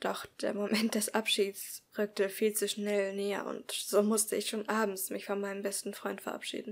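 Here a passage is read aloud in a natural voice.

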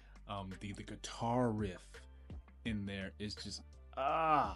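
Over music in the background, a man speaks in a very deep, low voice. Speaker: YouTube commentator. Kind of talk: casual talk to camera. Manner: casual, enthusiastic.

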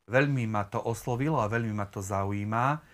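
His pitch shows ordinary variation. The man talks at a moderate pace. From eastern Slovakia, near Prešov; eastern Slovakia. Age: 30s. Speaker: church member, interview guest; interview guest. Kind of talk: casual interview. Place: home room.

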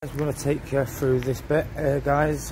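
A man talks in a monotone, flat intonation. Noticeable background noise runs underneath. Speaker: urban explorer vlogger. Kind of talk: casual vlog chat. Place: empty room. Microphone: phone near.

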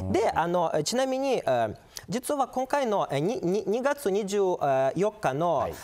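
At a fairly slow pace, a man speaks at a high pitch with very wide pitch swings. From Ukraine. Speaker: international politics scholar. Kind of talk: expert explanation in TV interview. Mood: calm, explanatory. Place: studio.

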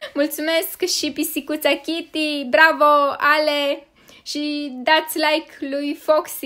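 In a raised, projected voice, a woman speaks at a high pitch with a bright, sharp tone. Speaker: gaming youtuber. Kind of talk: gaming commentary.

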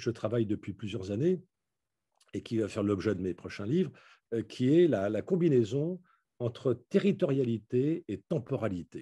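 A man's somewhat breathy, dark and mellow voice at a medium pitch, with lively intonation, a fairly slow pace and a quiet background. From France, Paris suburbs. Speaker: philosopher and urbanist author. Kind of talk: lecture. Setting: video call.

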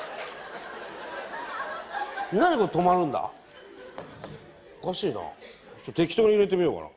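Over noticeable background noise, a man speaks very slowly. His loudness swings a lot. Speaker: comedian in a sketch. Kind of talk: comedy sketch monologue. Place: stage. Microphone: lapel.

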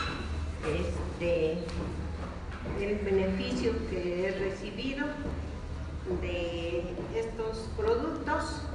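A woman speaks at a very slow pace, with audible room echo and noticeable background noise. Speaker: product testimonial giver. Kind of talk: testimonial interview answer. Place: hall.

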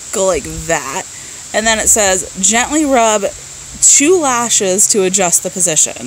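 A woman speaks at a fairly slow pace with very wide pitch swings. The sound is dry with no echo, over light background noise. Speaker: beauty vlogger. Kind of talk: casual vlog chat. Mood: mildly frustrated, joking. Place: garden. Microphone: phone near.

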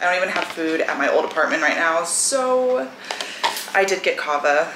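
A woman's speech shows ordinary pitch variation against noticeable background noise. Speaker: vlogger. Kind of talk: casual vlog chat. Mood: relaxed, chatty. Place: home room. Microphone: camera far.

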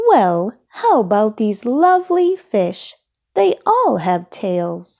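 A woman's put-on character voice, fairly high with big pitch swings, slow, with vocal fry and a slightly mellow tone, on a very clean recording with a silent background

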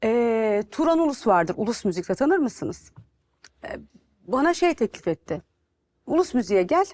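Against a quiet background, the speaker moves at a moderate pace with very wide pitch swings and long, frequent pauses. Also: woman, fairly high pitch for a woman. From Turkey. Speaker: TV and radio presenter; radio presenter. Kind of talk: interview. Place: studio. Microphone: lapel.

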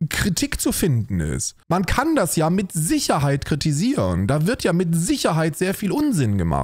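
Speech at a moderate pace with hardly any pauses and very even loudness. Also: man. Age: 30s. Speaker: streamer reacting to videos. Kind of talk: livestream reaction commentary. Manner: animated.

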